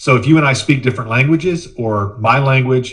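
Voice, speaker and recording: With audible room echo, a man talks at a moderate pace in a somewhat breathy, medium-pitched voice with ordinary pitch variation. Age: 40s. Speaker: communication trainer. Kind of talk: webinar presentation. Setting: video conference via laptop. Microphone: laptop microphone.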